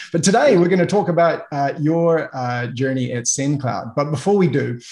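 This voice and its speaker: A man speaks with a New Zealand accent at a fairly quick pace. His voice is somewhat breathy. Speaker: podcast host, sales coach. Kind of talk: interview.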